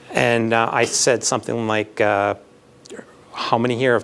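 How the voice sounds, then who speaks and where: A man's monotone, flat delivery in a slight Manitoban accent over noticeable background noise. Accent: slight Canadian (Manitoban). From Canada, Winnipeg (Manitoba). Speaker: architecture professor, job candidate. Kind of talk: job interview Q&A. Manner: halting, many fillers and repeats.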